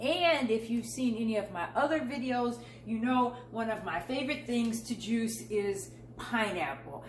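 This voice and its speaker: With audible room echo, a woman with a fairly high pitch speaks at a moderate pace. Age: 60s. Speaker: lifestyle and beauty vlogger. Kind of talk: casual vlog tutorial while juicing. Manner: conversational.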